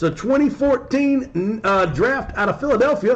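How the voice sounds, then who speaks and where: A man at a fairly slow pace, lively in intonation, over noticeable background noise. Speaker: sports card breaker streamer. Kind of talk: live stream commentary. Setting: live stream. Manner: speaking in a lowered voice, unnaturally.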